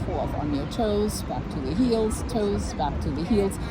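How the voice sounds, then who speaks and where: Audible room echo and noticeable background noise fill the recording. Within it, a woman talks fairly slowly. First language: not English. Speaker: exercise specialist. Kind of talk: casual chat with fitness tips. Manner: casual, filler-heavy.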